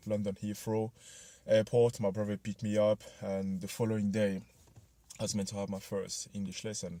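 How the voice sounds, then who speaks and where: This man's voice sits fairly low, with a dark, mellow tone. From Ivory Coast. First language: French. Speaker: motivational vlogger. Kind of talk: personal story vlog. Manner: casual, many fillers.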